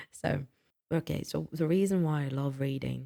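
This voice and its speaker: With a British accent, the speaker keeps to a moderate pace. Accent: British-sounding accent learned from BBC. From French-speaking country, not UK. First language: non-English mother tongue. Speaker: booktuber. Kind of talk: casual vlog talk. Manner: halting with many fillers.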